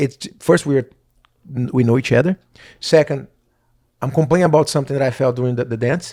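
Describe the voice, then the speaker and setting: In a very clean recording with a silent background, a man with a Brazilian Portuguese accent and a dark, mellow tone talks at a very fast pace with fairly even intonation and long, frequent pauses. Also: fairly high pitch for a man. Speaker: professional dancer and podcast co-host. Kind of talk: casual chat.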